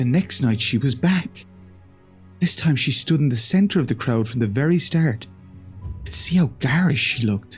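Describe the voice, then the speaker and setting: Music in the background behind a man speaking at a moderate pace with very wide pitch swings. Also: medium pitch for a man. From Ireland. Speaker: horror story narrator. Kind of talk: horror story reading.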